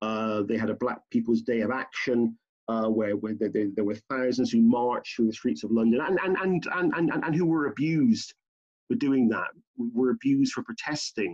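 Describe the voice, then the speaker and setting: With a British accent, a man talks at a moderate tempo. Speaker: professor. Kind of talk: interview. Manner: halting.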